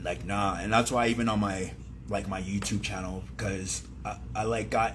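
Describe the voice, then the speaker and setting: Very wide pitch swings mark speech at a moderate pace, with audible room echo. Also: man, fairly low pitch for a man. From San Diego, California. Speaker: rapper. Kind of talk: radio interview. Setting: radio studio. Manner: halting.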